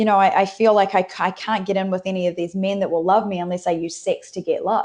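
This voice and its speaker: A woman with a New Zealand accent speaks at a fairly quick pace, her medium-pitched voice dark and mellow in tone, with fairly even intonation. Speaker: transformative coach. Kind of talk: podcast interview.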